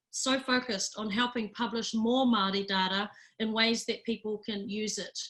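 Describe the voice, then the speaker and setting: In a bright, sharp tone, a woman speaks at a fairly high pitch and a moderate pace with fairly even intonation. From New Zealand, Rotorua. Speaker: data organisation chief executive. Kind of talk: webinar presentation.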